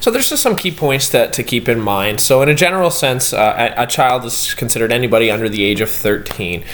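Very fast delivery with lively intonation and hardly any pauses, over noticeable background noise. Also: man, medium pitch for a man. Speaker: student presenter. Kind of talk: casual class podcast presentation. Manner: casual, many fillers.

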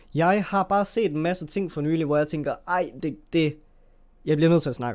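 A man's fairly high pitch, ordinary pitch variation, big swings in loudness and a moderate pace. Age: 20s. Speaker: podcast host. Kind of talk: solo monologue podcast. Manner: halting, many fillers.

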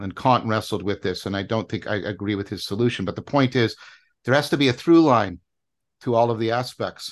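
Against a quiet background, a man speaks at medium pitch with ordinary pitch variation in a plain, everyday voice. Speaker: professor. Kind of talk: philosophical discussion.

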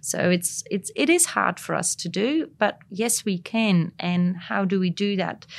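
Against a quiet background, a somewhat breathy woman speaks at a fairly slow pace with hardly any pauses and ordinary pitch variation. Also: medium pitch for a woman. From Belgium (Flanders). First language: Flemish (Dutch). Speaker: craft brewery owner. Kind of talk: interview.

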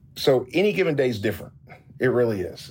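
This man has a Southern US accent. He talks at a very fast pace. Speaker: barrel industry executive. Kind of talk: interview. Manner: halting, many repetitions and fillers.

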